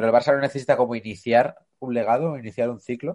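Against a quiet background, a man talks at a medium pitch with a dark, mellow tone. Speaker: podcast co-host. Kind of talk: casual chat. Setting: video call.

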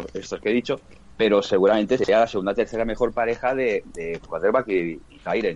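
A man speaks at a medium pitch in a Castilian accent. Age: 40s. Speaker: sports fan commentator. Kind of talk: casual chat.

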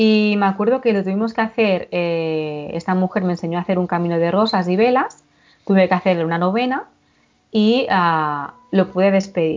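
The pace of this woman's speech is moderate. She talks at a medium pitch with ordinary variation. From Catalonia, Girona Pyrenees. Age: 40s. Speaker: paranormal experience witness. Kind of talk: testimony. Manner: halting.

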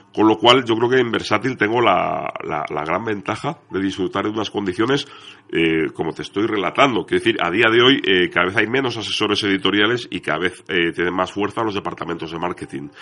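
A man's fairly low voice at a fairly quick pace, with ordinary pitch variation and hardly any pauses. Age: young. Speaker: crime fiction author and editor. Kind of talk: radio interview.

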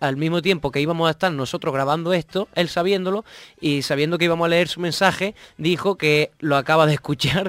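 Fairly quick and fairly even in intonation, a man's high-pitched voice comes through a very clean recording with a silent background. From Andalusia, Spain. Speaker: podcast co-host. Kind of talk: casual chat; reading aloud.

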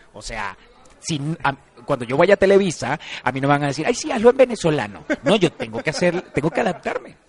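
With a dry, close sound and no echo but noticeable background noise, a man talks at a fairly quick pace in a fairly high pitch, with very wide pitch swings and big swings in loudness. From Venezuela. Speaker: actor. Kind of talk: casual interview.

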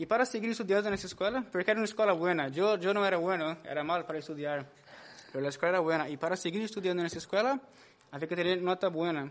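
The speech moves at a very fast pace, with a Brazilian accent. Pitch varies in an ordinary way. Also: man, high pitch for a man. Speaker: church musician, former drug user. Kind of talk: testimony.

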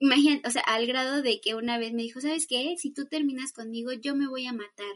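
Talking at a fairly quick pace with hardly any pauses, a woman uses a high pitch and fairly even intonation. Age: 20s. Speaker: psychologist. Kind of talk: casual chat.

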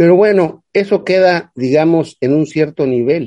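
A man with a dark, mellow tone talks at a fairly slow pace, his intonation lively. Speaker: political commentator, economics. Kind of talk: casual political chat.

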